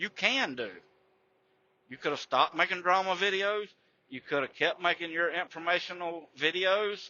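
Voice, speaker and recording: With long, frequent pauses, a man in an American accent talks at a high pitch. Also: ordinary pitch variation, moderate pace. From Florida, US South. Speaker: YouTuber, ex-trucker. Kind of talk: drama commentary rant. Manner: animated, profane.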